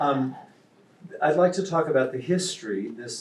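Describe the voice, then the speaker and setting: A man's voice with audible room echo. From Kansas. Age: 70s. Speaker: novelist. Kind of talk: talk to a live audience. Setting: stage with audience.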